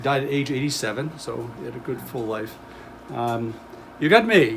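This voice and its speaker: Heard with audible room echo and noticeable background noise, a man speaks at a medium pitch with ordinary pitch variation and big swings in loudness. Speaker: museum volunteer and presenter. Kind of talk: public talk. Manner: fast; hesitant with fillers.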